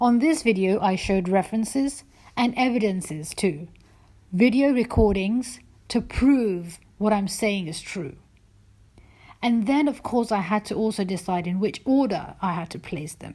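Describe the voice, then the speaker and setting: On a very clean recording with a silent background, a woman speaks at a moderate pace and medium pitch, her somewhat breathy voice dark and mellow, with lively intonation. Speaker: YouTuber and religious debater. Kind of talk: personal vlog monologue. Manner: hesitant.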